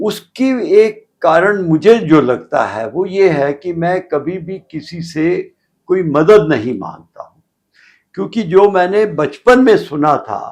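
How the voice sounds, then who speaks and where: With lively intonation and big swings in loudness, a man speaks at a high pitch. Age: 80s+. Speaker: elderly golfer interviewee. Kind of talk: interview storytelling. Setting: studio.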